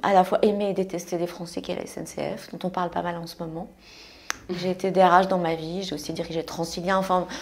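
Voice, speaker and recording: A woman talks at a fairly low pitch and a fairly quick pace, her intonation monotone and flat, with big swings in loudness. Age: 60s. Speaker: entrepreneur. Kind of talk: casual chat.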